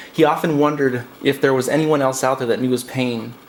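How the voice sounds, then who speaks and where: Noticeable background noise sits under a man speaking at a very fast pace, with medium pitch and monotone, flat intonation. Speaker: poet. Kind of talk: spoken word poetry.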